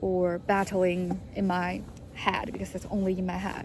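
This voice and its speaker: A woman with a Chinese accent speaks at a fairly slow pace in a somewhat breathy, monotone, flat voice. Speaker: vlogger, international student. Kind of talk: personal vlog monologue. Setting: recording alone to camera. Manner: halting, many fillers and restarts.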